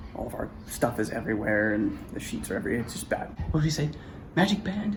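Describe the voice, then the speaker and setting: A quiet man at a medium pitch, very fast pace and very wide pitch swings, with audible room echo and noticeable background noise. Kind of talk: casual chat. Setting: hotel room.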